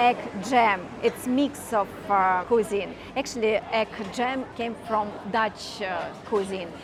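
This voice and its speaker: There is noticeable background noise as a woman with a fairly high voice speaks very slowly and with fairly even intonation. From Russia. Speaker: tour guide. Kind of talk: interview answer.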